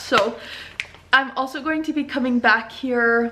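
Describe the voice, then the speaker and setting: A woman's voice comes through raised and projected, high in pitch. Her tone is bright and sharp. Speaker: vlogger and small business owner. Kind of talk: casual vlog talk.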